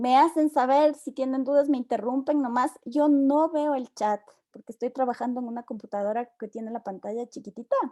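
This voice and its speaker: The voice has a dark, mellow tone and fairly even intonation, moving at a fairly quick pace with hardly any pauses. Loudness swings widely, and the sound is dry and close with no echo. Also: woman, high pitch for a woman. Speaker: university lecturer. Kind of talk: online lecture.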